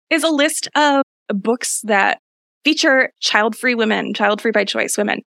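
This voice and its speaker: A woman with an American accent speaks at a fairly high pitch with a bright, sharp tone and vocal fry. The sound is dry and close, with no echo. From US Midwest. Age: 30s. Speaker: podcast host. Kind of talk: casual chat.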